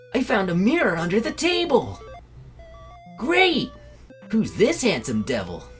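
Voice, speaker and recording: A put-on character voice at a fairly high pitch moves at a moderate pace over clear music in the background. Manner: heroic.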